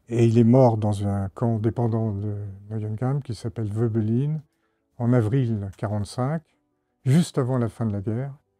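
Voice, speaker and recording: Music behind a man at medium pitch, fairly slow and fairly even in intonation, with long, frequent pauses and a dry, close sound with no echo. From France, Isère (Grenoble area). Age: 70s. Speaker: retired diplomat. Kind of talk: testimony. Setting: classroom with children. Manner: halting.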